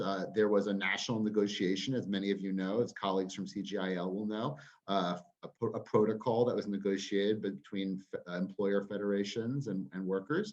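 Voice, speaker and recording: Here is a plain, everyday voice from a man with an American accent. He talks at a fairly quick pace in a fairly low pitch. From United States. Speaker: trade union campaigns director. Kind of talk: webinar talk.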